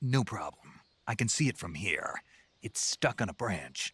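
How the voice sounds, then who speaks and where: A man speaks in a put-on character voice at medium pitch with lively intonation and a moderate pace. The sound is dry and close, with no echo. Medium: video game. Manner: terse, dry.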